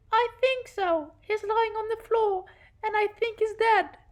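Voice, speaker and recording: A woman uses a put-on character voice pitched extremely high. She talks at a fairly slow pace with fairly even intonation. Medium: audio drama.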